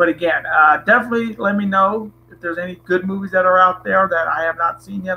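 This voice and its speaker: The voice is raised and projected, with a bright, sharp tone. It moves at a very fast pace. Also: man. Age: 20s. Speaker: wrestling streamer. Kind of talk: live stream chat. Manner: casual, hesitant.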